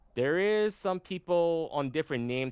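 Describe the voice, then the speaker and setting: Lively intonation marks a man talking at a moderate pace. The sound is dry and close, with no echo. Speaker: debate participant on a livestream. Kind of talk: debate. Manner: halting, many restarts.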